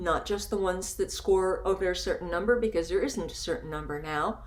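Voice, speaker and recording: The room echo is clearly audible. Within it, a woman talks. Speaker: photography educator. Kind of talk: recorded webinar lecture.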